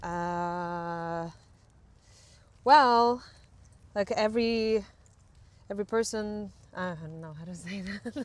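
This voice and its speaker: A woman with a Ukrainian accent at a very slow pace, with long, frequent pauses, big swings in loudness and ordinary pitch variation. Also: medium pitch for a woman. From western Ukraine. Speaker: camera crew member in film industry. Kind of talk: casual interview. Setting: outdoors, walking. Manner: hesitant, many fillers.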